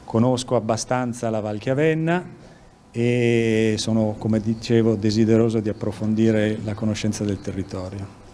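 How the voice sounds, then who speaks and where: Light background noise sits behind a man's speech. He keeps a moderate pace and fairly even intonation. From Lombardy, Milan. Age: 60s. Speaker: police chief. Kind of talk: news interview. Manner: halting. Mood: calm, formal. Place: office. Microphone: handheld.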